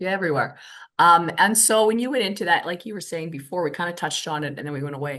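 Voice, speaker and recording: The speaker has a plain, everyday voice with ordinary pitch variation. The pace is fairly quick, and the background is quiet. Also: woman. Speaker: podcast host. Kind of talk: podcast interview questions.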